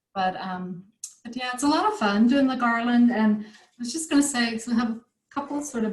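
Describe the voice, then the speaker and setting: Somewhat breathy, a woman's fairly high voice shows ordinary pitch variation. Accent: American. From United States. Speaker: craft tutor. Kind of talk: online craft workshop chat.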